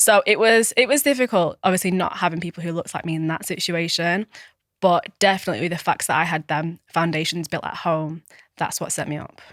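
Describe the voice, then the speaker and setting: In a Manchester accent, a woman talks fairly quickly at a fairly low pitch with ordinary pitch variation, on a very clean recording with a silent background and a dry, close sound with no echo. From Manchester, Tameside. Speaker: lifestyle coach. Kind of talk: casual interview chat.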